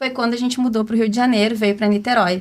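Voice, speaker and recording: This woman has an ordinary speaking voice, fairly high in pitch with fairly even intonation. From southern Brazil, Rio Grande do Sul. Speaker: branding strategist. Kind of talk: podcast interview.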